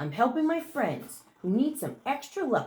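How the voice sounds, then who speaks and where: A put-on character voice. It moves at a moderate pace. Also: woman, high pitch for a woman. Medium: read story.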